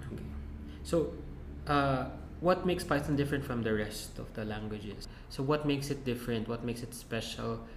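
Against audible room echo, a man of medium pitch talks at a fairly quick pace with lively intonation and long, frequent pauses. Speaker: podcast host. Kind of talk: interview.

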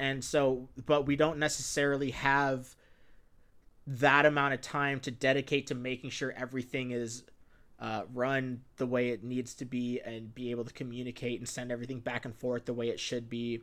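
Moderate pace, monotone, flat intonation and medium pitch from a man, very clean recording, silent background. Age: 20s. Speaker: podcast host. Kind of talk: casual chat.

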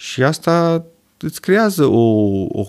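A voice with very wide pitch swings, captured in a very clean recording against a silent background. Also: man. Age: 40s. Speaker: urologist. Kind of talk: casual chat.

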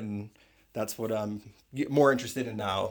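An ordinary speaking voice from a man with an American accent, medium pitch, ordinary pitch variation, very clean recording with a silent background. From US Northeast, suburban Philadelphia. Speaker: tintype photographer. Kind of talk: casual chat.

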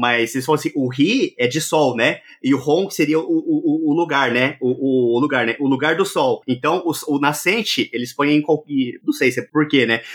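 A man with a normal speaking voice talks at a moderate pace with a fairly high pitch and ordinary pitch variation. The recording is very clean, with a silent background. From Brazil, interior of Minas Gerais. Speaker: tech YouTuber living in Japan. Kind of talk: casual chat.

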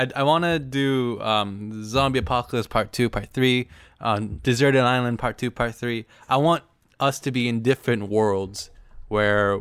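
A plain, everyday voice belongs to a man speaking at a medium pitch and moderate pace. His pitch varies in an ordinary way, on a very clean recording with a silent background. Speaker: guest YouTuber. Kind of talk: casual chat.

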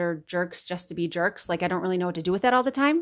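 A normal speaking voice from a woman, pitched in the medium range, its pitch variation ordinary. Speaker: podcast host. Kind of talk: casual chat. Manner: warm, encouraging.

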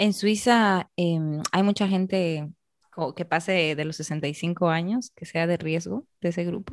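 Very slow speech with ordinary pitch variation, dry and close with no echo, over a quiet background. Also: woman, fairly low pitch for a woman. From Peru, Arequipa. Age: 20s. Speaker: podcast host. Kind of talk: interview.

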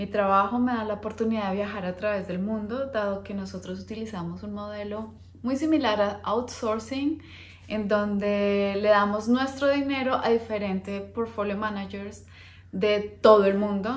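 A woman at medium pitch and moderate pace, fairly even in intonation, with big swings in loudness and audible room echo. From Colombia, Bogotá. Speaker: finance educator and investment manager. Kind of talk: personal introduction video to camera. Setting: recorded on camera, husband behind the camera.

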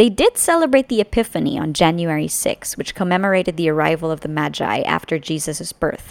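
An unremarkable speaking voice moves at a fairly quick pace with lively intonation and hardly any pauses, in a dry, close sound with no echo. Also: woman, fairly low pitch for a woman. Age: 30s. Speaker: podcast host. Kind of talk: scripted narration.

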